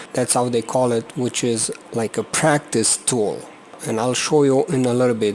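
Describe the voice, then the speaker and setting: Over noticeable background noise, a man with a non-native accent talks at a medium pitch with ordinary pitch variation. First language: not English. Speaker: flight simulator video reviewer. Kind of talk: tutorial. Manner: halting.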